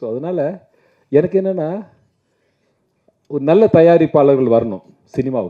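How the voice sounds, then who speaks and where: With an unremarkable speaking voice, a man talks at a fairly high pitch using lively intonation. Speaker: film actor. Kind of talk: speech at a film audio launch event.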